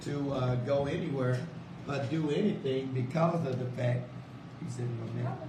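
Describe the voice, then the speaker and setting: With audible room echo and noticeable background noise, a man talks at a moderate pace and medium pitch, his intonation fairly even. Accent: American. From South Dallas, Texas. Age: 60s. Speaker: radio host. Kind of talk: radio interview.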